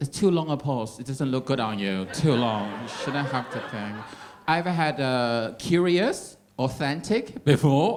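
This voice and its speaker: Fairly slow and lively in intonation, a man with an American accent speaks at medium pitch amid audible room echo. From Taiwan. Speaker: stand-up comedian. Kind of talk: stand-up. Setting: stage with audience.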